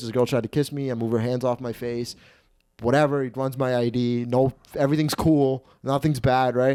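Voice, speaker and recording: A man speaks at a medium pitch with a dark, mellow tone. The recording is very clean, with a silent background. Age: 20s. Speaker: comedian. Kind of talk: casual chat. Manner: animated.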